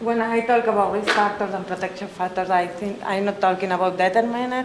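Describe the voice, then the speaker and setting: A woman with a Spanish accent, with noticeable background noise and audible room echo. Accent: Spanish accent, non-native English. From Colombia. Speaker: researcher, conference speaker. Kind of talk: conference presentation. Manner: halting, many fillers.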